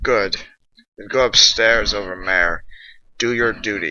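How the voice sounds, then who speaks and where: A man's gruff, put-on character voice, fairly low in pitch, at a fairly slow pace. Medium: read story.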